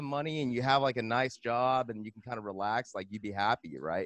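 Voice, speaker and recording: With a Southern Californian accent, a man talks at a medium pitch with ordinary pitch variation. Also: dry, close sound with no echo. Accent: Southern California American. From Los Angeles, San Gabriel Valley. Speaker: podcast co-host, DJ. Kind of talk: casual chat.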